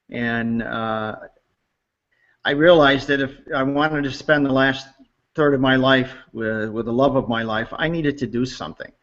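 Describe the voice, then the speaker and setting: A man at medium pitch and moderate pace, with long, frequent pauses. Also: fairly even intonation. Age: 60s. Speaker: customer giving testimonial. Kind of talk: testimony. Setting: online webinar hangout. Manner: halting with many fillers.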